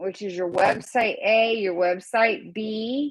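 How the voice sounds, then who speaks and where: With fairly high pitch and ordinary pitch variation, a woman talks at a very slow pace. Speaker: graduate student. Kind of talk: class presentation. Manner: halting, many fillers.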